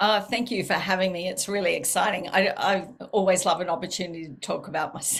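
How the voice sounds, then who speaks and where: At a very fast pace, a woman with a strong Australian accent speaks at medium pitch with ordinary pitch variation. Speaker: counselor and author. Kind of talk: interview.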